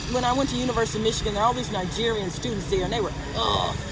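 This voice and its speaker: A woman with an American accent and a fairly high pitch, ordinary pitch variation, noticeable background noise and audible room echo. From United States. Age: 60s. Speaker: retired volunteer vlogger. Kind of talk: casual vlog monologue.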